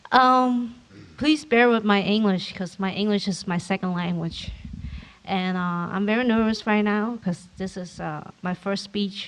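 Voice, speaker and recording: A woman's medium-pitched voice in a Vietnamese accent, with ordinary pitch variation and a moderate pace. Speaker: formerly incarcerated speaker. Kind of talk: public speech. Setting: conference hall with audience.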